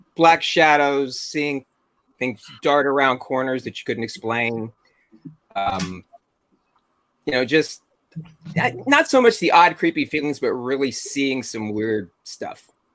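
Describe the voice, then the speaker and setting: A man with a fairly high pitch speaks at a very slow pace with long, frequent pauses and ordinary pitch variation, music playing in the background. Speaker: paranormal investigator. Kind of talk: casual chat.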